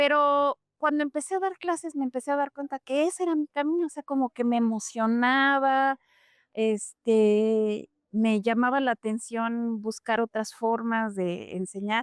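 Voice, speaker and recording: Recorded dry and close with no echo against a silent background in a very clean recording, a woman speaks at a high pitch with ordinary pitch variation. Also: fairly slow pace. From Mexico (Mexico City, then Puebla), German-speaking home. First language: German (speaking Spanish). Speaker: German language teacher. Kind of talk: interview.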